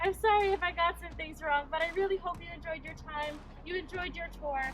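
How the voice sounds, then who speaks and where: Music plays behind a woman whose pitch is extremely high. She talks at a fairly quick pace with ordinary pitch variation. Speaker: college tour guide. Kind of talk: campus tour talk.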